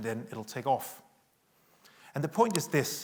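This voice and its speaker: The recording is very clean, with a silent background. A man with a Danish accent talks at a fairly quick pace. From Denmark. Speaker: tech company executive. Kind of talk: conference keynote talk. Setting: stage with audience.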